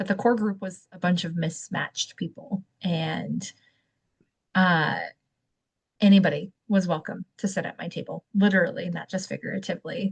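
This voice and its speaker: A woman speaks at a moderate pace with medium pitch and ordinary pitch variation. The sound is dry and close, with no echo. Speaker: podcast co-host. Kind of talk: casual chat. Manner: loud.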